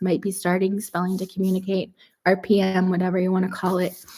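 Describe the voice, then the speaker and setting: Using a dark, mellow tone, a woman with a Canadian accent speaks at a fairly quick pace. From Canada, Toronto. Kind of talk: live stream chat.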